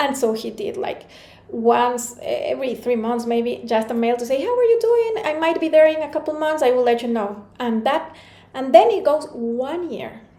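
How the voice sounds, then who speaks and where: A woman with a Spanish accent talks in a high pitch at a moderate pace with lively intonation, and audible room echo fills the recording. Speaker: motivational speaker.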